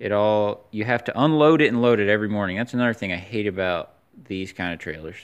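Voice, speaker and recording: Here is a man with an unremarkable speaking voice, fairly low in pitch, over a quiet background. He moves at a fairly quick pace with ordinary pitch variation. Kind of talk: casual vlog chat. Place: street. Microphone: phone near.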